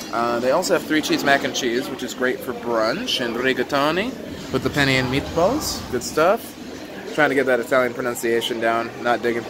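Someone talks at a moderate pace with noticeable background noise. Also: man, ordinary pitch variation. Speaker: vlogger touring a buffet. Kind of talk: casual vlog chat. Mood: upbeat, enthusiastic. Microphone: phone near.

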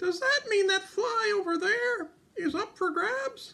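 At a fairly slow pace, a cartoonish character voice speaks at an extremely high pitch. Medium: puppet.

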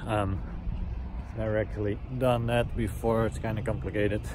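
This man speaks at a moderate pace over noticeable background noise. The sound is dry, with no echo. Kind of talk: casual vlog chat. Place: street. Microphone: phone near.

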